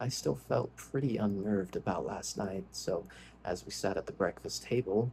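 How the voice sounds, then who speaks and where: A soft-spoken man with a fairly low pitch, dark, mellow tone, vocal fry and very wide pitch swings. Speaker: ASMR creator reading scary stories. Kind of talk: soft-spoken ASMR story reading.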